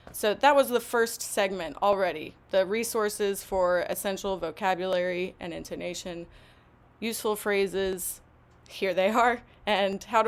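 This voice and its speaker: With ordinary pitch variation, a woman's voice sits at a medium pitch. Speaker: English language teacher. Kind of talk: webinar presentation. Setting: live online stream. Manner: slow.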